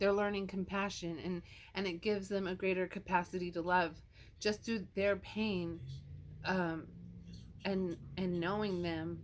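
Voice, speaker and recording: The delivery is fairly slow and monotone, with flat intonation and long, frequent pauses. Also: woman, medium pitch for a woman. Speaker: tarot card reader. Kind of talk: tarot card reading. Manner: loud.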